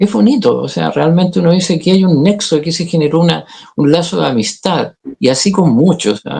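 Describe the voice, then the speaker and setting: A man with a Chilean accent, fairly high-pitched, at a fairly quick pace and with lively intonation. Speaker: actor, director and communication coach. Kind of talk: interview.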